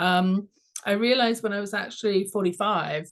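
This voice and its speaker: Speaking with an English accent, a woman of medium pitch keeps a moderate pace and ordinary pitch variation. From London, England. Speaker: executive coach and author. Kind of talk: interview.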